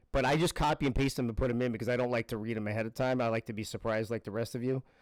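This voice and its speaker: A man speaks at a very fast pace with medium pitch and fairly even intonation. The sound is dry and close with no echo, on a very clean recording with a silent background. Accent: American. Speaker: live streamer, game show recap host. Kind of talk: casual live-stream chat with reading aloud. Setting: live stream.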